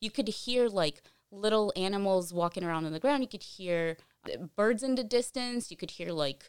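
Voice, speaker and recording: With lively intonation and a medium pitch, a woman talks at a moderate pace. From Brazil, Rio de Janeiro. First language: Portuguese. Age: 30s. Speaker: content creator and agency founder. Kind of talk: casual interview.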